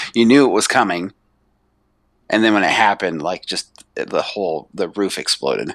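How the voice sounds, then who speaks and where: In an ordinary speaking voice, a man talks at a moderate pace with a fairly low pitch and ordinary pitch variation, the sound dry and close with no echo. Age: 30s. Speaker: wrestling fan, host's coworker. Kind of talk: casual chat.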